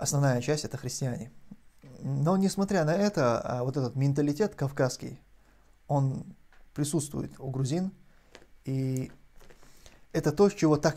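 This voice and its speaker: The voice is dark and mellow in tone, somewhat breathy, with ordinary pitch variation. It moves at a fairly slow pace with long, frequent pauses. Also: man. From Chechnya. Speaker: video blogger answering viewer donations; streamer answering donations. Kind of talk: livestream commentary and Q&A; live stream commentary. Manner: hesitant, frequent fillers.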